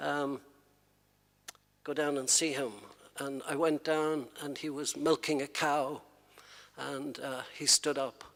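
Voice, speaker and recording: A man with an Irish accent, fairly high-pitched, very slow and monotone, with long, frequent pauses. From Ireland. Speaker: poet. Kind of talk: anecdote introducing a poem at a reading.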